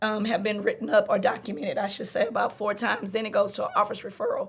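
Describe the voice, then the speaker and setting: A woman with a Louisiana accent speaks at a very fast pace. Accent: Southern US, Louisiana. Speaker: middle school teacher. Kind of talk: podcast conversation. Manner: speeds up when excited.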